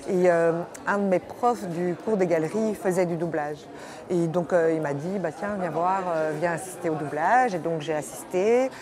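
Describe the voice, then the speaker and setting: Noticeable background noise and audible room echo surround a woman's fairly low voice. She speaks at a fairly slow pace. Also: ordinary pitch variation. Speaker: voice actor (dubbing). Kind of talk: interview. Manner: halting, many hesitations.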